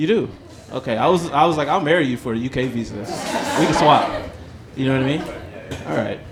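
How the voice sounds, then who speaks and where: With an American accent, the speaker uses ordinary pitch variation and long, frequent pauses, amid noticeable background noise and audible room echo. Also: man, fairly high pitch for a man, fairly quick pace. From Los Angeles, US. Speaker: stand-up comedian. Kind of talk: stand-up with crowd work. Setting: stage with live audience. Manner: animated.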